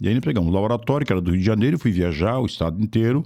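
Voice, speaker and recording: A man's medium-pitched voice carries a dark, mellow tone and ordinary pitch variation. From southern Brazil, Rio Grande do Sul coast (Osório). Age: 70s. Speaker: politician. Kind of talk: podcast interview. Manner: casual, conversational.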